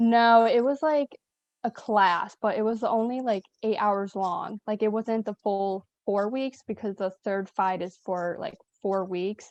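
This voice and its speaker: In a Western New York accent, a woman talks at a fairly slow pace and fairly high pitch with ordinary pitch variation, her sound dry and close with no echo. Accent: Western New York American. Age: 20s. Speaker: nursing assistant. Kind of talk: casual chat.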